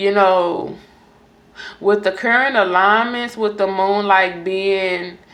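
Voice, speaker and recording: A woman talks at a very slow pace with fairly even intonation and very even loudness, and audible room echo can be heard. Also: medium pitch for a woman. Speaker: tarot reader. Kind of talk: astrology reading monologue.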